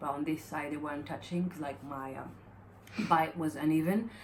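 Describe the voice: A woman speaks in a low pitch, her slightly mellow tone carrying fairly even intonation. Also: moderate pace.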